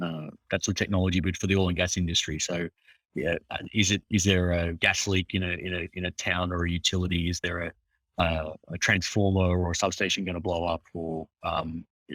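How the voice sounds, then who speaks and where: Very clean and silent in the background, this dry, close recording with no echo has a man with an Australian accent speaking in a very deep, low, monotone, flat voice. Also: fairly quick pace. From Australia, Hunter Valley. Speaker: agritech startup founder. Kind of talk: interview. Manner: halting, many fillers and restarts.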